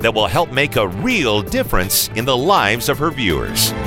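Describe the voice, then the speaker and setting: A man talking at a moderate pace, with music in the background. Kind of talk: paid programming announcer read.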